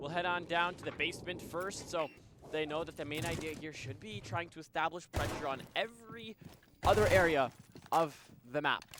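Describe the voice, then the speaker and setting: A man with a fairly high voice and ordinary pitch variation talks moderately fast as noticeable background noise runs behind him. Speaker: esports caster. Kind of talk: live commentary.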